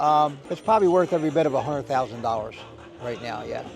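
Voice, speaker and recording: This man's voice sits fairly high and moves with ordinary pitch variation. He speaks very fast over noticeable background noise. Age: 70s. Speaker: classic car owner. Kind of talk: casual interview.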